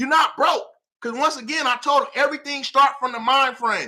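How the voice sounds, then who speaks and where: Shouting in a raised, projected voice, a man sounds animated, his extremely high pitch carrying a bright, sharp tone with ordinary pitch variation. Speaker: motivational speaker. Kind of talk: motivational talk. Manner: loud, yelling.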